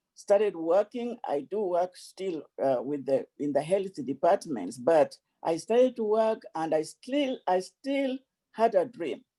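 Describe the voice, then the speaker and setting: A fairly slow pace with an African accent. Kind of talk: speech. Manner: repetitive stammering.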